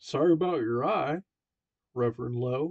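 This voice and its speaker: A man performs a put-on character voice at medium pitch. It is booming and comes at a moderate pace. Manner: hearty, friendly.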